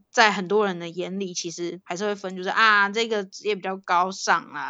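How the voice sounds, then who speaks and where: At a moderate pace with ordinary pitch variation, this is an unremarkable speaking voice. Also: woman. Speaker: podcast co-host. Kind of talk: casual chat.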